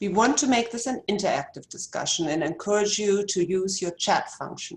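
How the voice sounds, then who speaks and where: Somewhat breathy, a woman speaks at medium pitch and a moderate pace with lively intonation. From Germany. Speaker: physician, webinar host. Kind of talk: webinar introduction. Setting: video webinar. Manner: formal.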